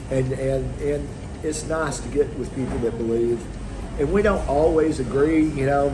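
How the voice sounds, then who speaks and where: Noticeable background noise and room echo surround a man with an American accent, who talks at a moderate pace in a fairly high voice. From Texas. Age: 60s. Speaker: expat retiree. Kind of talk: interview. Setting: outdoors on a beach. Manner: halting, many fillers and restarts.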